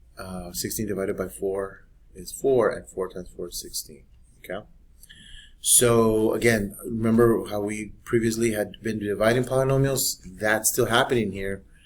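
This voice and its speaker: Big swings in loudness mark this man's fairly low voice. His intonation stays fairly even. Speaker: math teacher. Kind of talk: tutorial. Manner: fast.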